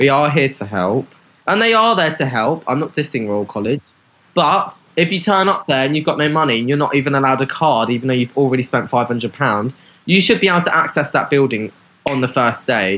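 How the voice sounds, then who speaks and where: A man with a fairly high pitch talks at a fairly quick pace in an animated, bright, sharp tone. His intonation is lively. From southeast London and Hastings. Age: 20s. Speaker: visual artist and fashion designer. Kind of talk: casual interview chat.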